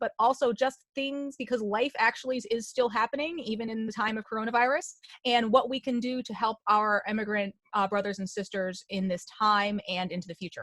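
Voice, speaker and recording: In a plain, everyday voice, a woman talks fairly quickly at a fairly high pitch with ordinary pitch variation and a dry, close sound with no echo. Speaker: host of advocacy web chat. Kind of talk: online round table host intro.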